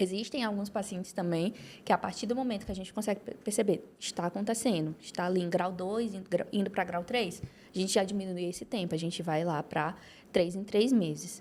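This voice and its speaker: A woman talks fairly quickly at a medium pitch with ordinary pitch variation. The recording is very clean, with a silent background. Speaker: orthodontist and dental professor. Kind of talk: academic podcast discussion. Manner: fast.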